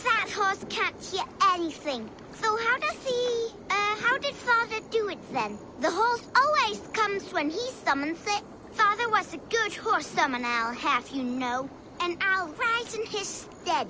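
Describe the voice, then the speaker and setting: A female-sounding, put-on character voice in a theatrical tone reaches an extremely high pitch at a moderate pace, with clear background noise behind it. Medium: video game. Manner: theatrical, proud.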